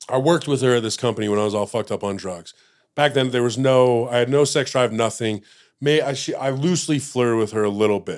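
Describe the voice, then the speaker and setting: In a very clean recording with a silent background, a man with an American accent talks at a very fast pace in a medium pitch with ordinary pitch variation. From Utah, US. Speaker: podcast guest in addiction recovery. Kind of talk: casual interview chat. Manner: animated.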